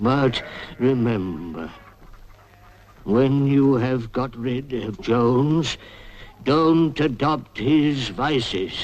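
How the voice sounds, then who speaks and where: A man in a cartoonish character voice talks at a very slow pace and a medium pitch, leaving long, frequent pauses. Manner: solemn, oratorical.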